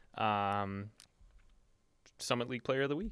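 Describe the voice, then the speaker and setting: Speaking at a fairly slow pace in a Minnesotan accent, a man shows ordinary pitch variation. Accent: Minnesota. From Duluth, Minnesota. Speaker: student sports podcast co-host. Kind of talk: casual sports chat. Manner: hesitant, many fillers.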